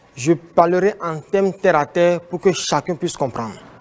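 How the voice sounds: A man speaks at a moderate pace with a fairly high pitch and ordinary pitch variation.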